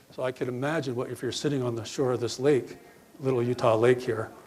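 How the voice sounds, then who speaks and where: The speaker talks at a fairly quick clip with fairly even intonation, and noticeable background noise runs underneath. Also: man. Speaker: conference presenter, ecologist. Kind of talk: conference talk.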